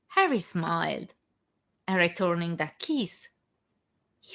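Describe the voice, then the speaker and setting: A woman with an Italian accent, speaking at a very slow pace. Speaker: fan fiction author reading her own work. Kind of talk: casual chat; reading aloud. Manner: halting, stumbles on words.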